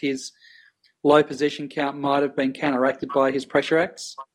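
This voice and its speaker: A man with an Australian accent, talking at a very fast pace. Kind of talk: casual chat.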